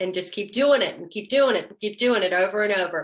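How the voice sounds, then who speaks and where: This woman has an ordinary speaking voice with lively intonation. She talks at a fairly quick pace. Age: 60s. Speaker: real estate video host. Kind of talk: interview wrap-up, motivational talk.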